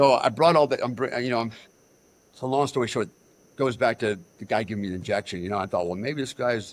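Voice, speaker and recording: A man with an American accent speaks at a very fast pace and medium pitch, with ordinary pitch variation. He takes long, frequent pauses, and the recording is very clean with a silent background. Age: 60s. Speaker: military veteran. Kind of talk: interview. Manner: animated.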